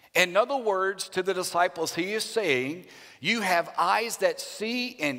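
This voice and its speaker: In a Louisiana accent, a man speaks in a raised, projected voice that is high-pitched, bright and sharp. He goes at a very slow pace on a very clean recording with a silent background. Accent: US Southern (Louisiana). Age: 50s. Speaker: Baptist pastor. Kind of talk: sermon.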